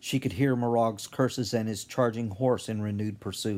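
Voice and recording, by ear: Someone reads a text aloud in a natural voice. Their intonation is fairly even.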